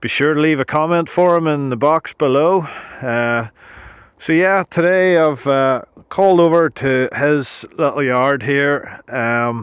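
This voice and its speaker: In a Northern Irish accent, a man with a fairly high pitch talks at a fairly slow pace. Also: ordinary pitch variation. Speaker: YouTube channel host interviewing his uncle. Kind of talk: casual talk to camera.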